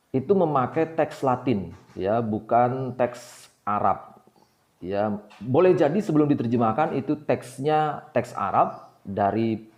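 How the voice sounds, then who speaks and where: Speaking at a very slow pace, a man keeps a medium pitch. His intonation is lively. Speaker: book discussion channel host. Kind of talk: informal lecture. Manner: many hesitations (eh).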